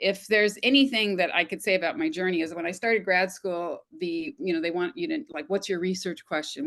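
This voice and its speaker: A plain, everyday voice belongs to a woman with an American accent who talks at a fairly quick pace, medium in pitch, with lively intonation. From US West, Los Angeles. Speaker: retired communication professor. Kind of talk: panel discussion.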